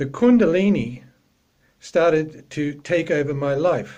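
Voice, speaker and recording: The tone of this man's voice is dark and mellow. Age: 60s. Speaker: yoga practitioner giving a talk. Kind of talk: talk.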